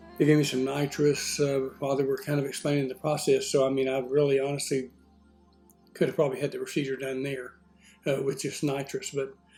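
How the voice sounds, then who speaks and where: With music in the background, a man with an American accent talks at a fairly quick pace in a fairly high, monotone, flat voice. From Texas, USA. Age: 60s. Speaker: retiree. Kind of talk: casual talk to camera. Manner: hesitant, many fillers.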